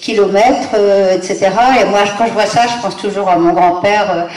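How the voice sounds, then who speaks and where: Noticeable background noise and audible room echo surround the voice. The intonation stays fairly even. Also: woman. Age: 70s. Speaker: guest lecturer, granddaughter of an aviation pioneer. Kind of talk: lecture. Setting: conference room with audience. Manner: hesitant, many fillers.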